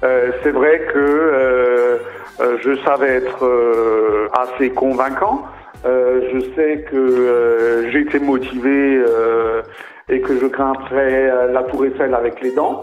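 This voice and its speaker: A man speaks at a very slow pace and medium pitch in a monotone, flat intonation with very even loudness. Noticeable background noise and audible room echo surround his voice. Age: 70s. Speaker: butterfly park founder. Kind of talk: interview.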